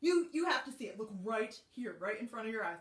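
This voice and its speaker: A woman speaks in a put-on character voice. Her pitch sits fairly high, and she talks at a fairly quick pace. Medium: read story. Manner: scheming, coaxing.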